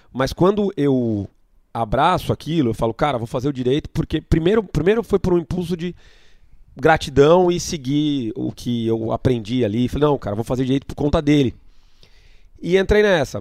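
In a dry, close sound with no echo, a man with a plain, everyday voice and a fairly high pitch speaks at a moderate pace with lively intonation. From Brazil, Itu (São Paulo state). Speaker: event promoter. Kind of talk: interview.

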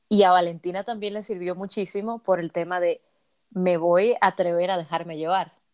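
A woman speaks in a medium pitch with a monotone, flat delivery, recorded very cleanly against a silent background. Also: moderate pace. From Dominican Republic. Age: 20s. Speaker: fan content creator. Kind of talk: casual chat.

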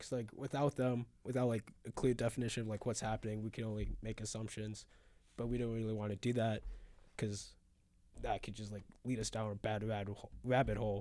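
A man speaks at a fairly quick pace in a medium pitch, his tone dark and mellow. His intonation stays flat and monotone, on a very clean recording with a silent background. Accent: American. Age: young. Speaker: college radio host. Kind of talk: casual chat.

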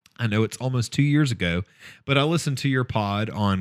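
A man speaks at a fairly quick pace and medium pitch in a plain, everyday voice. The recording is very clean, with a silent background. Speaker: podcast host. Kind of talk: casual chat.

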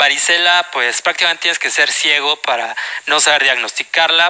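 A man with a Mexican accent talks at a moderate pace with noticeable background noise. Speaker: medical exam prep lecturer. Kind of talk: lecture. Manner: animated.

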